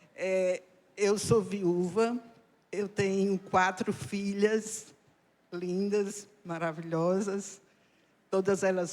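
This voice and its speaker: A woman speaks at a medium pitch. Her pace is very slow, and her intonation stays fairly even. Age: 70s. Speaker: church member giving testimony. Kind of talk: testimony. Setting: church service with audience.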